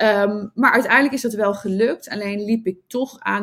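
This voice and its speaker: A woman talks in a somewhat breathy voice with ordinary pitch variation. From Netherlands, Nijmegen. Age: 40s. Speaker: entrepreneur and love coach. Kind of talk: interview. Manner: halting.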